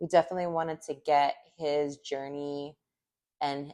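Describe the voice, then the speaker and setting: A woman's voice at a fairly slow pace. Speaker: podcast co-host. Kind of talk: casual chat. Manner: casual, filler-heavy.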